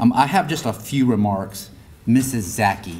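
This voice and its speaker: A man with a fairly low voice and ordinary pitch variation is heard with audible room echo. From grew up partly on US Army bases, German-speaking home. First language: German. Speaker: school district leader. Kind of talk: awards ceremony speech. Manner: halting, many repeats.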